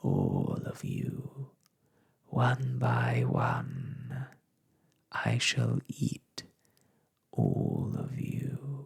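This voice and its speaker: A man uses a croaky, put-on character voice. He speaks at a very slow pace with long, frequent pauses. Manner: menacing.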